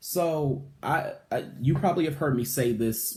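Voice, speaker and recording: Dark, mellow male tone, pitch variation ordinary. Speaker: vlogger and writer. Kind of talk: personal vlog monologue. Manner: energetic; hesitant, many fillers.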